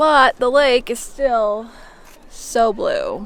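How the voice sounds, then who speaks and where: The voice belongs to a woman. Background noise is noticeable throughout. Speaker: travel vlogger. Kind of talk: casual vlog narration. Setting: outdoors.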